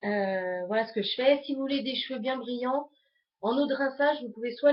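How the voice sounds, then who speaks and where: A woman with ordinary pitch variation. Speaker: beauty vlogger. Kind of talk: tutorial.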